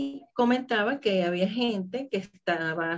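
A woman with a normal speaking voice, medium in pitch, with lively intonation. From Venezuela. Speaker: holistic therapist and laughter coach. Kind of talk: interview.

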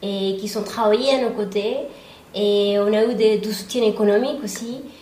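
A woman with a Spanish accent speaks at a moderate pace and a fairly high pitch in a flat, monotone way, with audible room echo and noticeable background noise. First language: Spanish (speaking French). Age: 30s. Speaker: real estate agent and investor. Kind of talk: interview testimony.

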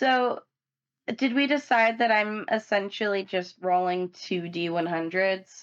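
Against a quiet background, a woman with a normal speaking voice talks at a fairly slow pace and medium pitch, with ordinary pitch variation. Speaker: tabletop game player and co-host. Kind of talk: casual chat.

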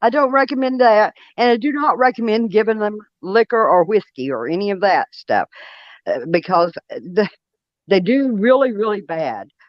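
A woman with an East Tennessee accent speaks at a fairly high pitch. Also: moderate pace. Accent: Southern US (East Tennessee). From US South, Monroe County, Tennessee. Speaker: Bigfoot experiencer. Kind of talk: casual interview. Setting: phone call on speaker.

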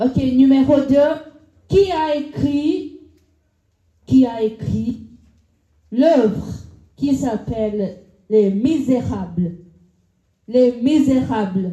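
A woman speaks very slowly in a high pitch with lively intonation and a dark, mellow tone. She leaves long, frequent pauses. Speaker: game show host. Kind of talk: live quiz game show hosting an audience. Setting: live venue with audience.

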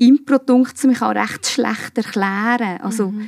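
The woman's intonation stays fairly even, and the sound is dry and close, with no echo. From Switzerland, Obwalden (Giswil). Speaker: improv actress. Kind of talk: casual chat.

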